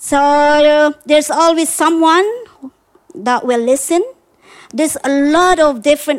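Her pitch is high and her pace fairly slow. The woman speaks with a Filipino accent. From Philippines. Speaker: storyteller. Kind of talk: live storytelling. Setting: backyard with live audience.

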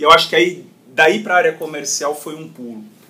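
Here a man talks at a fairly quick pace. His fairly high voice has lively intonation. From Brazil, São Paulo city. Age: 30s. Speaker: call center company CEO. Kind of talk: interview. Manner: halting, many repetitions.

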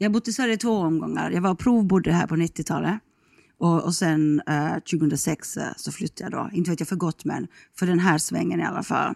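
In an Ostrobothnian accent, a woman speaks at a moderate pace with a fairly low pitch, vocal fry and ordinary pitch variation, on a very clean recording with a silent background and a dry, close sound without echo. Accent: Finland-Swedish, Ostrobothnian. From Finland, Ostrobothnia (Kronoby, near Jakobstad). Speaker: radio journalist, travel show host. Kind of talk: casual chat.

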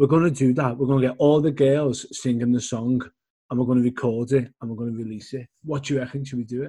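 A man's very fast, somewhat breathy voice at a medium pitch, dark and mellow in tone, with fairly even intonation and a Liverpool accent. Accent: Scouse. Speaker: podcast co-host. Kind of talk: casual interview chat.

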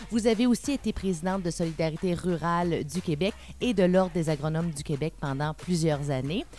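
Over music in the background, a woman with a fairly low pitch talks at a fairly quick pace with ordinary pitch variation. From Quebec, Témiscamingue. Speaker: podcast host. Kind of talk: podcast intro.

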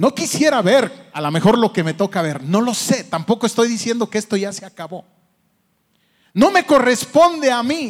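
A man speaks at an extremely high pitch with very wide pitch swings. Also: moderate pace. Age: 50s. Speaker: pastor. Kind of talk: sermon.

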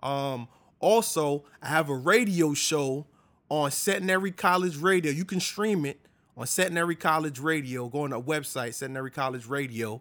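A man with a fairly high pitch speaks in an animated tone at a moderate pace, his pitch varying in an ordinary way. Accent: American. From New York, US. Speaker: DJ. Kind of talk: casual chat.

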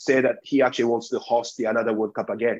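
The speaker is a man. He has a Japanese accent. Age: 40s. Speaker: sports executive. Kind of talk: interview.

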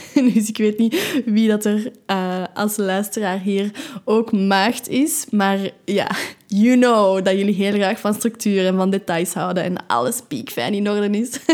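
In a Flemish accent, a woman speaks at a very slow pace with a medium pitch and ordinary pitch variation. The recording is very clean, with a silent background. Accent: Flemish Dutch. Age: 20s. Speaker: meditation podcaster. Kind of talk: casual monologue.

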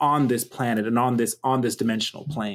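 A man with an American accent has an ordinary speaking voice at a medium pitch with ordinary variation. The recording is very clean, with a silent background. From US, Pittsburgh, Pennsylvania. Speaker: multimedia artist and engineer. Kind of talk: interview conversation.

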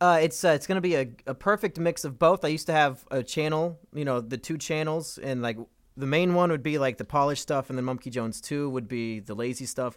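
This man has an unremarkable speaking voice with ordinary pitch variation. He talks at a fairly quick pace with hardly any pauses. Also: fairly high pitch for a man. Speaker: podcast host. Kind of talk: casual banter podcast. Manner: joking, teasing, crude.

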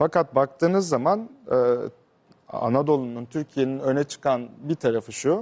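Marked by very even loudness and lively intonation, a man's unremarkable speaking voice comes at a moderate pace and fairly high pitch with a dry, close sound and no echo. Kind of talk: casual interview.

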